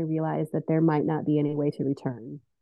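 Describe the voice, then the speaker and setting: A woman with an American accent speaks while music plays in the background. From Iowa. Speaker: teacher. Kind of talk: interview about faith journey.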